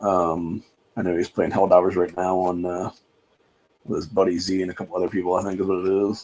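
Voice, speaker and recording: At a fairly quick pace, a man speaks in a very deep, low pitch. His intonation stays monotone and flat. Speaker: livestream talk show host. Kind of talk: casual livestream monologue. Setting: home livestream in an apartment complex at night. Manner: kept low in volume.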